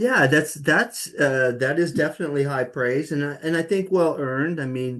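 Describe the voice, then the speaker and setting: With an unremarkable speaking voice, a man talks at a moderate pace and a fairly high pitch, ordinary pitch variation and hardly any pauses. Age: 60s. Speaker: music journalist. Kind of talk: interview.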